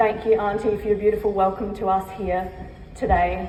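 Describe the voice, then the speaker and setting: A woman's medium-pitched voice, moderate in pace and monotone, flat in intonation, with noticeable background noise and audible room echo. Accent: Australian. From Australia, Torres Strait Islander heritage, raised Adelaide and Queensland. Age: 20s. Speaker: keynote speaker. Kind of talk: keynote speech. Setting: stage at a luncheon with audience.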